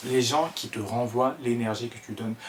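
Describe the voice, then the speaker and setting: Amid noticeable background noise, a man with an Ivorian accent speaks very slowly with fairly even intonation. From Ivory Coast (Abidjan). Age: 20s. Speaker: content creator, vlogger. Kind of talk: casual vlog talk to camera. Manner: hesitant, many fillers and repetitions.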